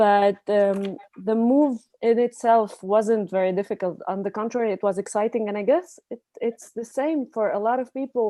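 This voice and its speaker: Dry and close with no echo, a woman's fairly high voice has a dark, mellow tone, ordinary pitch variation and a moderate pace. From Lebanon. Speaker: neurosurgeon. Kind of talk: panel discussion.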